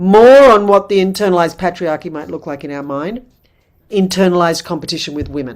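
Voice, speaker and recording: She is a woman with an unremarkable speaking voice. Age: 60s. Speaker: midwife and women's wisdom teacher. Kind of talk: workshop talk.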